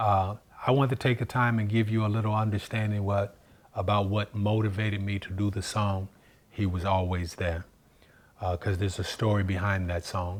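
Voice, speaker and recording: The delivery is at a moderate pace with a monotone, flat intonation. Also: man, fairly low pitch for a man. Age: 60s. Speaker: singer giving testimony. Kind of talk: testimony.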